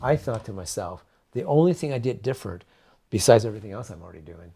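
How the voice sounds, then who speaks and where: A somewhat breathy, dark and mellow voice with lively intonation and an American accent, on a very clean recording with a silent background. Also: man. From California. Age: 70s. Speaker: raw food advocate. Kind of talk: interview. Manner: halting.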